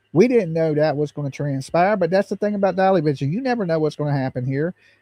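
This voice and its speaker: In a Southern US accent, a man speaks at a very fast pace with a dark, mellow tone and a fairly high pitch. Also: dry, close sound with no echo, quiet background. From US South. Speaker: true crime livestream host. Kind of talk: casual livestream talk.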